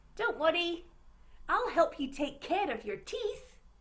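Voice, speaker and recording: This squeaky, put-on character voice moves at a fairly slow pace with very wide pitch swings. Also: woman, extremely high pitch for a woman. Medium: read story.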